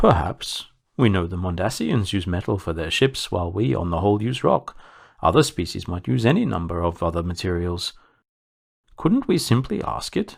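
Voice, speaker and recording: Putting on a character voice, a man speaks sing-song at a moderate pace with a very deep, low pitch. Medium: read story. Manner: calm, reasoning.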